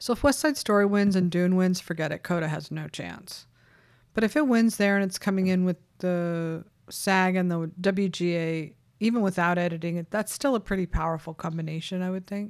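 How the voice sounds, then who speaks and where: At a fairly quick pace, the speaker uses an ordinary speaking voice. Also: woman, medium pitch for a woman, ordinary pitch variation. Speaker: awards-season podcast host and website editor. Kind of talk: casual chat. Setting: video call.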